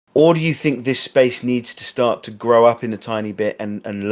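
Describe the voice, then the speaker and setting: A medium-pitched man with an English accent on a very clean recording with a silent background. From England. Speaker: podcast host. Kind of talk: interview.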